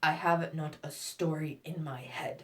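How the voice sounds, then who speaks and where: This female-sounding voice is raspy and sits at a middle pitch. It is a put-on character voice. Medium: read story. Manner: curt.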